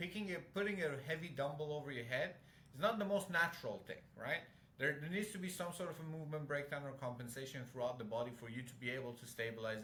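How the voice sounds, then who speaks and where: With a non-native accent, a man talks at a very fast pace, with a fairly high pitch and lively intonation. Noticeable background noise and audible room echo surround him. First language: not English. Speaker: fitness coach. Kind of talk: casual chat.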